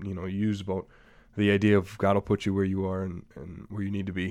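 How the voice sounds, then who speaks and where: A man with an Upper Midwest US accent and a fairly low pitch. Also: very clean recording, silent background. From Wisconsin, Green Bay area. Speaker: podcast host. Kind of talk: interview.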